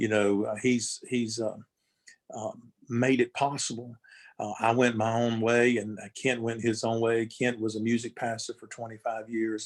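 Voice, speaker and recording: This man speaks with a Southern US accent. His pitch is medium and his intonation stays monotone and flat. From North Carolina. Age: 60s. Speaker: gospel musician. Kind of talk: interview. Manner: halting.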